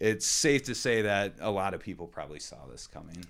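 A man's plain, everyday voice, fairly low in pitch, at a moderate pace, on a very clean recording with a silent background. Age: 20s. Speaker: podcast co-host, financial analyst. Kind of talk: casual chat.

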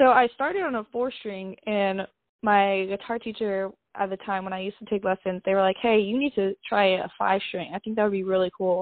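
A woman speaks fairly quickly in a plain, everyday voice, with a medium pitch and fairly even intonation. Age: 20s. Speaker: metal band vocalist and bass player. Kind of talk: casual interview.

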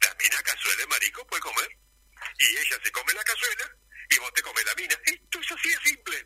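Speaking at a very fast pace, a man uses an extremely high pitch with very wide pitch swings. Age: 70s. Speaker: doctor. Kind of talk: radio interview. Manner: animated.

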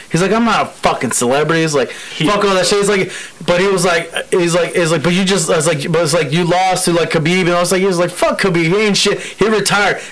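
A man with a high-pitched voice talks at a very fast pace with hardly any pauses and very even loudness over noticeable background noise. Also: ordinary pitch variation. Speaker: podcast co-host. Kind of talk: casual banter podcast.

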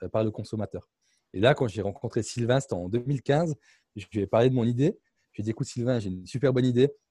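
A man talks at a medium pitch with a dark, mellow tone and ordinary pitch variation. The sound is dry and close with no echo, over a quiet background. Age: 20s. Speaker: startup founder and CEO. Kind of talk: interview.

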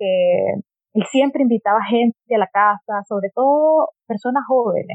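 A woman with a high pitch speaks with lively intonation at a moderate pace. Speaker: economist and human rights activist. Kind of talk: interview conversation.

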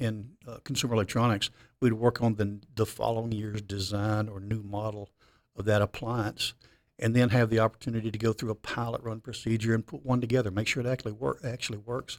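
A man's medium-pitched voice in a Memphis accent, flat and monotone at a fairly quick pace, on a very clean recording with a silent background. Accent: Southern US (Memphis). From Memphis, Tennessee. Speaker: high school mechatronics teacher. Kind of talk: interview podcast.

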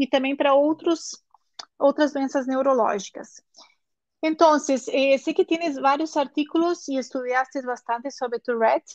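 In a Portuguese accent, a woman with a high pitch speaks at a fairly slow pace with fairly even intonation, and the sound is dry and close with no echo. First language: Portuguese (speaking Spanish). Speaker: neurologist hosting a live online course session. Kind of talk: live-streamed interview. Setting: live stream on Instagram and YouTube.

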